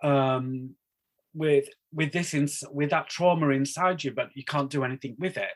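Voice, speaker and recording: A man talks at a moderate pace in a Northeast English accent. His pitch is fairly high and his intonation fairly even. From northeast England, Darlington. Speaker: wedding celebrant and sign language interpreter. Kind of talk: casual chat.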